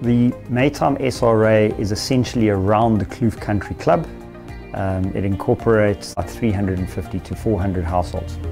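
Over clear music in the background, a man talks at a fairly slow pace with a fairly low pitch and ordinary pitch variation. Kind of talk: interview answer. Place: office. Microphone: lapel.

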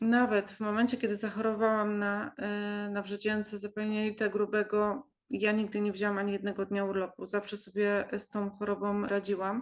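At a moderate pace, a woman speaks at medium pitch with monotone, flat intonation. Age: 40s. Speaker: patient. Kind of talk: testimony. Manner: halting.

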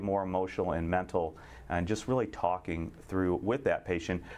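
A moderate pace from a man with a very deep, low pitch. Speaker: infectious disease physician; guest. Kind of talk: panel discussion. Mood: calm, reflective. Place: studio.

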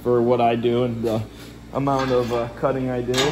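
Against noticeable background noise, a man talks at a moderate pace in a monotone, flat intonation. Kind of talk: casual vlog chat. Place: garage. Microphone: phone near.

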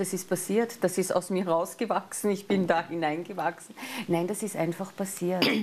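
Speaking in a Viennese accent, a woman keeps a medium pitch. Her pace is moderate and her intonation fairly even. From Austria, Vienna. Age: middle-aged. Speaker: astrologer; life coach guest on TV show. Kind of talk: casual chat; daily forecast. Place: studio.

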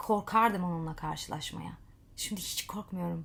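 The voice heard is a woman's. It has a somewhat breathy quality. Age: 30s. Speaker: life coach and social media vlogger. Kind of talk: motivational monologue to camera.

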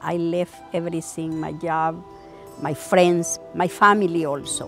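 Over music in the background, a woman speaks fairly slowly in a fairly low pitch with fairly even intonation. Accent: Salvadoran. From El Salvador. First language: Spanish. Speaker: daycare cook, former social worker. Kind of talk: interview answer.

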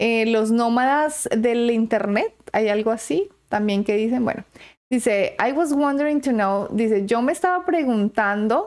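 The woman's fairly high voice has lively intonation and moves at a very slow pace, with a quiet background. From Colombia. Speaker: YouTuber. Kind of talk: vlog commentary. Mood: earnest, opinionated. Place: home room.

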